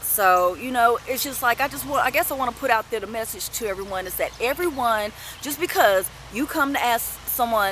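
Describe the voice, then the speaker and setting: Noticeable background noise sits behind a woman speaking at a moderate pace. Her pitch is fairly high, with lively intonation. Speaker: vlogger and retail customer service worker. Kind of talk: casual monologue vlog. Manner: hesitant, many fillers.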